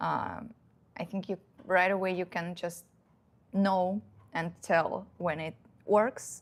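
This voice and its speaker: On a very clean recording with a silent background, a woman with a Russian accent speaks at a very slow pace and fairly low pitch. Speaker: dating advice youtuber. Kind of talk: casual live stream Q&A. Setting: live stream at home. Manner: halting, many fillers.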